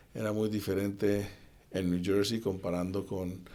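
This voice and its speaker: Speaking at a moderate pace in a flat monotone, a man with a fairly low pitch and a dark, mellow tone is heard with audible room echo. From Colombia, Cali. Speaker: assistant football coach. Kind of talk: interview conversation.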